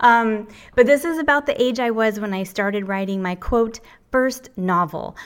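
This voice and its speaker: The recording is very clean with a silent background, carrying a plain, everyday voice at a moderate pace. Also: woman. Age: 50s. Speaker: book editor. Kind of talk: presentation.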